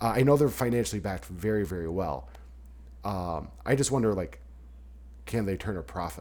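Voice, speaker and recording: A man speaks at a fairly quick pace in a very deep, low pitch with vocal fry and very wide pitch swings. Long pauses come often. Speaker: podcast host. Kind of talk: casual sports-talk podcast chat. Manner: fearful of solo openings, stumbles on words.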